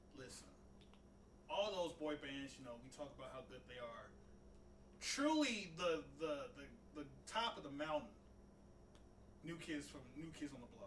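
A man talks at a moderate pace in a fairly high pitch, his intonation lively and his loudness swinging widely. He pauses long and often, and room echo can be heard. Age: 20s. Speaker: podcast co-host. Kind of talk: casual chat.

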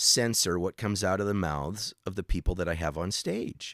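A man talks at a moderate pace, with a very clean recording and a silent background. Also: dry, close sound with no echo. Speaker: radio host and magician. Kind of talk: casual interview. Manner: halting, repeats words.

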